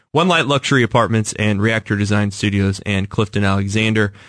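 An unremarkable speaking voice from a man with an American accent, fairly low in pitch, at a fairly quick pace over a quiet background. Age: 30s. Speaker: radio host. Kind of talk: interview. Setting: radio studio.

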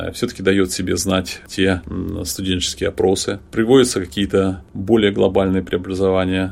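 A man's very deep, low voice holds a fairly even intonation while moving at a moderate pace. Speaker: podcast co-host and university lecturer. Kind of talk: casual chat.

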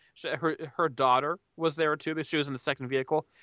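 Very clean and silent in the background, the recording has a dry, close sound with no echo. A man with an American accent talks very fast in a bright, sharp, fairly high voice with ordinary pitch variation. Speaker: podcast host. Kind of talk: casual opinionated rant. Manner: animated, ranting.

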